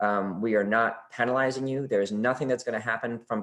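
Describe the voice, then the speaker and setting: A man at a medium pitch talks at a very fast pace. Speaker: college admissions officer. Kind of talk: webinar presentation. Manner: animated.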